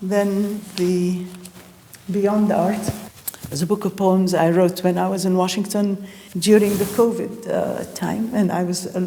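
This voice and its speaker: In an Arabic accent, the speaker talks at a fairly slow pace with a monotone, flat intonation, amid audible room echo and noticeable background noise. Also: woman. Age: 70s. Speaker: artist and poet. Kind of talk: interview. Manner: halting.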